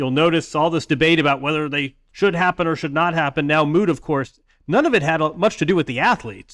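This is a plain, everyday voice. The background stays quiet. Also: man. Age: 50s. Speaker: sports writer and author. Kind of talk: casual chat.

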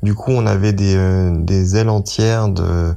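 A man's dark, mellow voice sits fairly low, with fairly even intonation. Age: 30s. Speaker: dentist volunteering in hospital. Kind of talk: testimony. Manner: halting.

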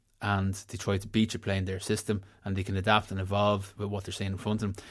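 Over a silent background in a very clean recording, a man with a Dublin accent speaks at a fairly quick pace and a fairly low pitch. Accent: Dublin Irish. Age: 30s. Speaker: former footballer and pundit. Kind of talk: casual sports chat.

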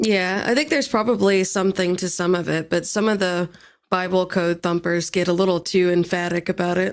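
In a very clean recording with a silent background, a woman with an ordinary speaking voice talks fairly quickly at a medium pitch and very even loudness. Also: fairly even intonation. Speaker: podcast guest. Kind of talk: casual chat.

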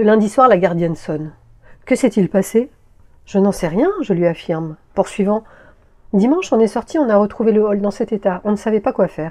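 Long, frequent pauses break up a woman's dark, mellow speech at medium pitch, delivered at a moderate pace with ordinary pitch variation. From Paris region, France. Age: 50s. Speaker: podcast author and narrator. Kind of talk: scripted narration.

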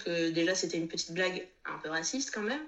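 Very fast and lively in intonation, a woman speaks at a medium pitch over noticeable background noise. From Réunion. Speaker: Instagram creator. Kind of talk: testimony. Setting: video call. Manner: halting.

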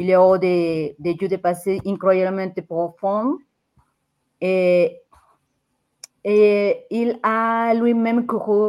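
At a very slow pace with long, frequent pauses, a woman with a Mexican accent speaks at medium pitch in a fairly even intonation. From Mexico. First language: Spanish (speaking French). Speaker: football fan and podcaster. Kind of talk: casual chat. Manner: halting, repeats words.

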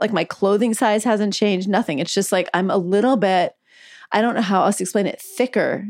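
A woman's unremarkable speaking voice at medium pitch, with ordinary pitch variation and a dry, close sound with no echo. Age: 50s. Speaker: physician and author. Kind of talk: interview. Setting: video call from home.

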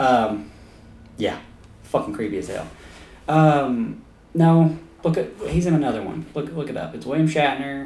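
A man speaks at a moderate pace with lively intonation, a fairly high pitch, and a dark, mellow, somewhat breathy tone. His loudness swings widely, and he takes long, frequent pauses. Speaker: podcast host. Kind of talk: casual comedic banter.

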